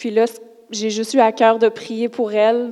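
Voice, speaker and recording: Her pace is fairly slow. This woman's voice sits fairly high in pitch. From Quebec, Lac-Saint-Jean. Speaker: churchgoer. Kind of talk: testimony. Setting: church.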